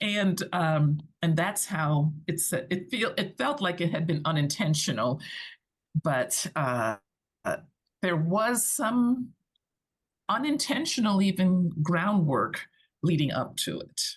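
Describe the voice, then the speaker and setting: Her voice fairly low and somewhat breathy, a woman speaks very slowly with long, frequent pauses and very wide pitch swings. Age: 60s. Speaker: digital nomad and business owner. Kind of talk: casual chat.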